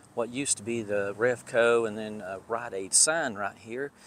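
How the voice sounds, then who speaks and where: Amid light background noise, a man talks at a fairly slow pace. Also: dry sound with no echo. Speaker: urban explorer vlogger. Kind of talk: casual vlog chat. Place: street. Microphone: phone near.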